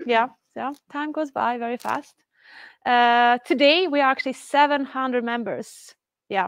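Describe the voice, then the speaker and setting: Speaking with a Swedish accent, a woman talks at a fairly slow pace in a fairly high pitch, with a quiet background and a dry sound with no echo. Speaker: community organizer and event host. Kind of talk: event hosting. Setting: stage with live audience, livestreamed. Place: office. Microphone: lapel.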